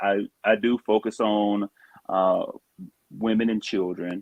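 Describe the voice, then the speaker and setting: A man with a Southern US accent speaks at a fairly low pitch. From US South. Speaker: social worker. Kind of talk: casual chat. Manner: halting, many fillers.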